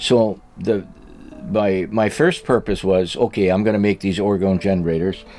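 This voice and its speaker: Music plays in the background as a man with a fairly low pitch speaks at a moderate pace, his loudness very even and his intonation fairly even. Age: 80s+. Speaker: orgonite maker. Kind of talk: casual chat. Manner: halting.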